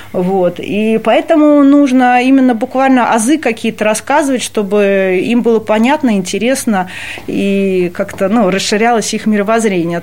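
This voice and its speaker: A woman with a fairly high pitch talks at a moderate pace, her pitch varying in an ordinary way, while noticeable background noise runs underneath. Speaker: cultural center staff member. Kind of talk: interview.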